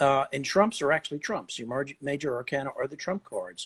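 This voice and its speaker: The clip is very clean, and the background is silent. In it, a man talks at a fairly high pitch. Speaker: tarot expert. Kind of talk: lecture. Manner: fast; halting.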